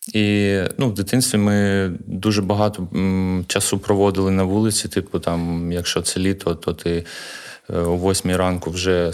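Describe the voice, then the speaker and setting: Amid noticeable background noise, a man with a very deep, low pitch speaks at a fairly slow pace in a monotone, flat delivery. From Ukraine, Kharkiv (Saltivka). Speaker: parkour coach and gym co-founder. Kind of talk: interview.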